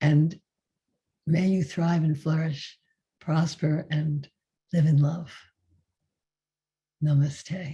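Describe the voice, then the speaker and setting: A woman with a very deep, low pitch speaks at a very slow pace, somewhat breathy and in a monotone, flat delivery. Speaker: meditation teacher. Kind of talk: closing remarks of a spiritual group session. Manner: halting.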